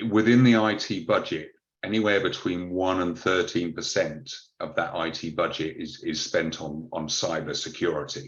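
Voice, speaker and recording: A man with a British accent speaks at a moderate pace in a very deep, low pitch with ordinary pitch variation. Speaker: cybersecurity advisor. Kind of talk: webinar presentation. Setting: online webinar. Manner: hesitant, many fillers.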